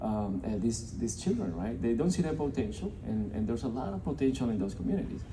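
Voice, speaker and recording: In a Colombian accent, a man talks very fast with lively intonation, and audible room echo can be heard. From Colombia (Bogota). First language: Spanish. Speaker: nonprofit representative. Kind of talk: speech to a business audience. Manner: halting, many fillers and repeated words.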